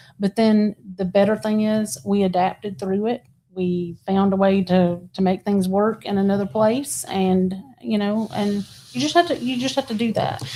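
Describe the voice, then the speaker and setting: The speaker has an American accent and ordinary pitch variation at a moderate pace. Noticeable background noise runs through the clip. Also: woman, medium pitch for a woman. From Texas. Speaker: realtor. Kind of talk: casual interview chat.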